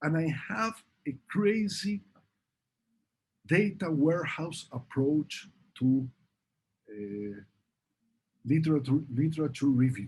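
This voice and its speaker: Lively intonation from a man's fairly high, somewhat breathy voice at a very slow pace, with long, frequent pauses. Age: 60s. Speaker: professor; presenter. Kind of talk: Q&A answers; lecture. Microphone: webcam.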